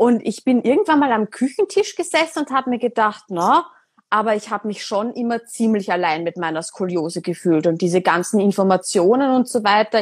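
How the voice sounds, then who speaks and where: A woman talks at a moderate pace with lively intonation. Her pitch sits fairly high. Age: 20s. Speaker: podcast host. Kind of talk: casual interview on Instagram live. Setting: Instagram live recording. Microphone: poor sound quality.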